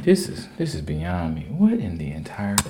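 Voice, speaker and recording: A man's words echo audibly off the room as he talks at a moderate pace. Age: 20s. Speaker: podcast host. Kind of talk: casual chat.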